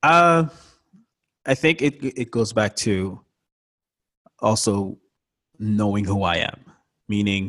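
In an American accent, a man talks with a fairly low pitch. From Montreal, Quebec, with years in Florida. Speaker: visual artist and podcaster. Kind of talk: interview conversation.

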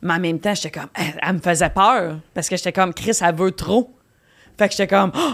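On a very clean recording with a silent background, a woman talks at a fairly quick pace and medium pitch in an ordinary speaking voice. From Quebec, Victoriaville. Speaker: comedian. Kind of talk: casual chat. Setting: studio.

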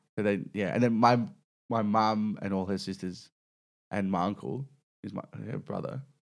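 In a very clean recording with a silent background, a man with an Australian accent speaks at a fairly low pitch. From Melbourne, Australia (Mill Park / Whittlesea). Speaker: stand-up comedian. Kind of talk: casual chat.

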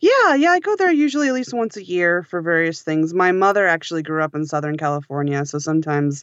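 A woman is speaking. She talks with an American accent. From Western Massachusetts, rural. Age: 30s. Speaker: audiobook editor and sound engineer. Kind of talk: casual interview chat.

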